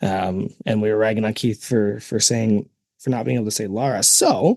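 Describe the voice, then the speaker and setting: Speaking with a Canadian accent at a moderate pace, a man uses a fairly low pitch, ordinary pitch variation and a dark, mellow tone. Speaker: podcast co-host. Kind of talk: casual chat.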